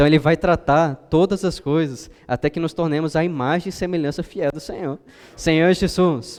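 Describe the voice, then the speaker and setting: A plain, everyday voice from a man, fairly high, with fairly even intonation at a moderate pace. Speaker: preacher. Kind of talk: sermon.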